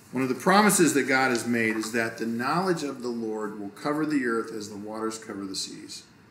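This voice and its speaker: A man talks at a fairly quick pace with hardly any pauses, at a medium pitch with ordinary pitch variation. Light background noise and audible room echo are present. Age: 50s. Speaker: pastor. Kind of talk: casual chat. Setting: indoors next to a fireplace, video recording. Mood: calm, earnest. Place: studio.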